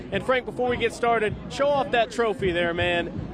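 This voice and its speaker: Noticeable background noise runs beneath a man who speaks at a moderate pace. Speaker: sports reporter and play-by-play broadcaster. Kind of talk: TV sports reporting.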